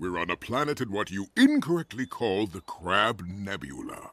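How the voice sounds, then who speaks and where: A cartoonish character voice from a man, fairly low in pitch, smug and solemn in tone, at a moderate pace. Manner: smug, solemn.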